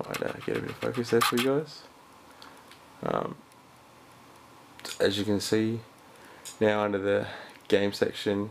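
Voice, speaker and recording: The speaker moves at a moderate pace with long, frequent pauses. Background noise is noticeable. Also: man. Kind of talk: casual tutorial talk to camera. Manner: hesitant, many filler words.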